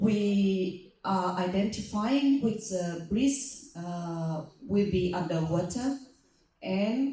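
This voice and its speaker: A woman's medium-pitched voice at a very slow pace, with audible room echo. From Vietnam. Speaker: panelist, disaster management official. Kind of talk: panel presentation. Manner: halting, some fillers.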